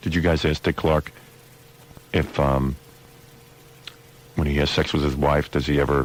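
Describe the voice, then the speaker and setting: A man's very deep, low voice, monotone and flat, with very even loudness, long, frequent pauses and noticeable background noise. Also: moderate pace. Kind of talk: radio talk show host banter, bantering with co-hosts about awards.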